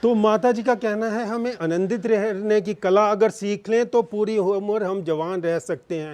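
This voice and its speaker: The man speaking has a high pitch. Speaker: interviewer and channel host. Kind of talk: casual talk to camera.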